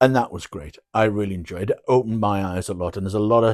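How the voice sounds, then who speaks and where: Recorded very cleanly with a silent background and a dry, close sound with no echo, a man speaks at a fairly quick pace. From northeast England, Durham. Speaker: vlogger telling his life story. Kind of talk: personal storytelling monologue. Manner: halting, many fillers and restarts.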